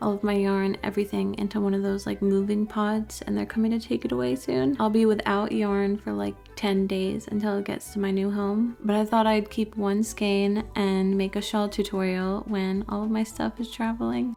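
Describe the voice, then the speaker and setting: Music plays behind a woman with an American accent speaking at medium pitch with ordinary pitch variation. She keeps a moderate pace with hardly any pauses. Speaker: crochet designer and tutorial maker. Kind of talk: tutorial. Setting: empty room during a move. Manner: casual, chatty with frequent 'like'. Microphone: new mic cover, echoey empty room.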